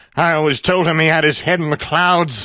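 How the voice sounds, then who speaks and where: Putting on a whiny character voice, a man talks at a fairly quick pace with fairly high pitch. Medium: solo performance.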